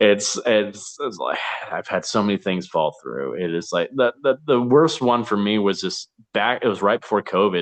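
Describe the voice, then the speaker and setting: Here a man speaks at a fairly low pitch and moderate pace. His intonation is lively, and the sound is dry and close with no echo. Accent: American. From US South. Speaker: actor. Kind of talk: casual chat. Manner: halting, many false starts.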